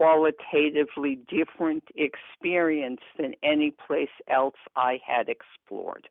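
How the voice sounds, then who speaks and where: A woman is speaking. Her pace is very slow. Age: 70s. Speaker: weight loss surgery patient. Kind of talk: interview answer.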